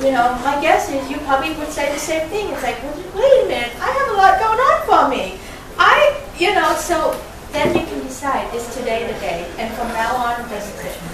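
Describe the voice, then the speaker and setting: Over noticeable background noise and audible room echo, a woman speaks at a moderate pace. Her pitch is high, with very wide swings. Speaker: love coach. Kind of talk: motivational talk. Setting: networking meeting with live audience. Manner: animated.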